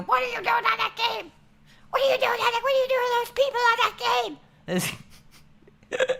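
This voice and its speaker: Shouting at a moderate pace, a female-sounding put-on character voice comes through. It is squeaky. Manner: screaming.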